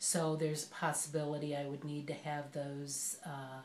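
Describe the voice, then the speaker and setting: A woman with a very deep, low pitch speaks slowly-ish in a monotone, flat intonation, with audible room echo. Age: 60s. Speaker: patient. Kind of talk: patient interview. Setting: doctor's office.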